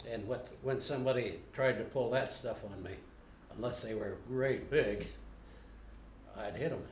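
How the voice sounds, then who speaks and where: A man with an American accent speaks at a moderate pace and a medium pitch, with vocal fry and fairly even intonation. Long, frequent pauses and audible room echo mark the recording. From Ohio. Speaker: interviewee. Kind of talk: interview. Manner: halting.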